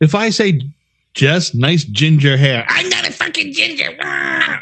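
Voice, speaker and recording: A man speaks at a fairly slow pace in an animated tone. His pitch swings very widely. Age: 60s. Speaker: podcast co-host. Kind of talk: casual chat.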